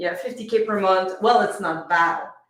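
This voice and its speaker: A woman with a Quebec accent, audible room echo around her. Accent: French-Canadian accent in English. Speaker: business coach and speaker. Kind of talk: podcast interview. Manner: occasionally halting, searching for words.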